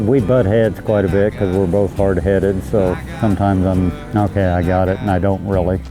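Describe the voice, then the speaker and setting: Music plays behind a man with a very deep, low voice. He talks at a fairly quick pace, with very even loudness and fairly even intonation. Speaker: rancher. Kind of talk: interview answer.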